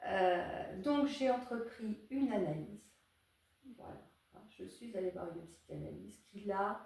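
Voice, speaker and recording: At a fairly slow pace with long, frequent pauses, a woman of medium pitch speaks with lively intonation and big swings in loudness, and audible room echo fills the recording. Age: 60s. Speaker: psychotherapist and psychoanalyst. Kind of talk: interview. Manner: hesitant, many fillers.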